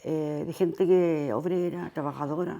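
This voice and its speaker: Speaking at a very slow pace, a woman has a fairly low pitch, a dark, mellow tone and ordinary pitch variation. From Chile, Santiago (Independencia/Conchalí). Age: 80s+. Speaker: dictatorship survivor giving testimony. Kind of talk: oral history testimony interview. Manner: halting, with false starts.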